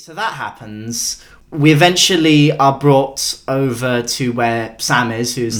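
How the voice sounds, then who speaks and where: A man speaks in a plain, everyday voice at a fairly slow pace, with hardly any pauses. His pitch varies in an ordinary way, while his loudness swings widely. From Canada. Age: 20s. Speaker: podcaster. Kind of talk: casual chat.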